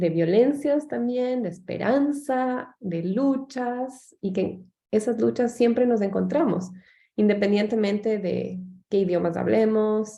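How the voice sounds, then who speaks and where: Her pace is fairly slow. This woman's medium-pitched voice has a dark, mellow tone and ordinary pitch variation. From Latin America. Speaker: anthropologist and professor. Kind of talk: radio interview.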